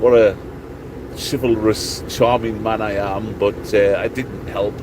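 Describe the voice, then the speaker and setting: A man speaks over noticeable background noise. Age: 50s. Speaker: truck driver vlogger. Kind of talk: casual vlog monologue. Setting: in a truck cab at a truck stop.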